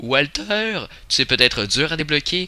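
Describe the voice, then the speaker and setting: A man speaks with a Quebec accent at a very slow pace. His tone is bright and sharp, with very wide pitch swings. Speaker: gaming youtuber. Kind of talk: video game commentary. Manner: halting. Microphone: slight crackle noise from the microphone.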